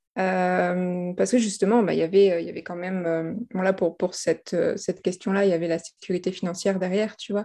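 Against a quiet background, a woman with a dark, mellow tone talks fairly quickly at a medium pitch, in a monotone, flat intonation with hardly any pauses. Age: 30s. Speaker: life coach. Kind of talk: interview. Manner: halting.

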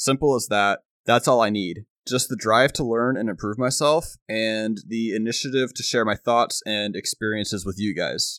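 A normal speaking voice at a moderate pace with ordinary pitch variation, in a dry, close sound with no echo on a very clean recording with a silent background. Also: man, medium pitch for a man. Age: 20s. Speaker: podcast host. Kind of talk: motivational monologue.

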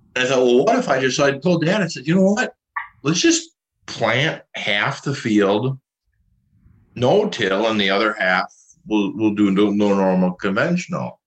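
Here a man talks at a moderate pace in a medium pitch. He has an Upper Midwest accent, and his pitch swings very widely. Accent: Upper Midwest American. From Minnesota. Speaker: farmer. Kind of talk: interview.

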